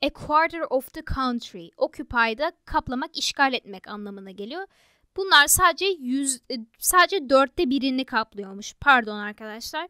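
A woman with a high pitch and a bright, sharp tone uses a raised, projected voice at a fairly slow pace, with very wide pitch swings and big swings in loudness. The recording is very clean with a silent background and sounds dry and close, with no echo. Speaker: exam prep tutor. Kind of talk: tutorial.

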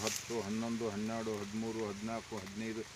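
A man speaks with a north Karnataka accent, his voice carrying audible room echo. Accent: north Karnataka (Dharwad) Kannada. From Dharwad district, north Karnataka. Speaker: farmer and ex-serviceman. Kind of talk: testimonial interview.

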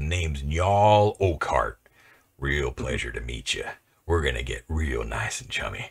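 A man's put-on, menacing character voice, very deep and low in pitch, with lively intonation, big swings in loudness and a moderate pace. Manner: menacing, falsely friendly.

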